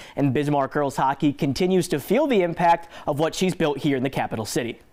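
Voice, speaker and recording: This is an ordinary speaking voice at a fairly quick pace. Pitch varies in an ordinary way and loudness stays very even. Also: man, fairly high pitch for a man. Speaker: sports reporter. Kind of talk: sports broadcast reporting, play-by-play and anchor delivery.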